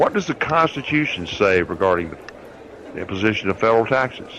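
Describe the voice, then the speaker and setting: With noticeable background noise behind him, a man speaks in a Southern US accent with very wide pitch swings. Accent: southern drawl. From US South, North Alabama (Huntsville). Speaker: radio host and lawyer. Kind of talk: radio show monologue.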